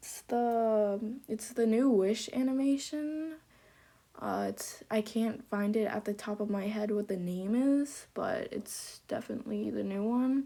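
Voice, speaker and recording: Fairly high female voice with a dark, mellow tone, ordinary pitch variation, and a fairly slow pace. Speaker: gaming video creator. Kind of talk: gameplay commentary. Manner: halting, many fillers.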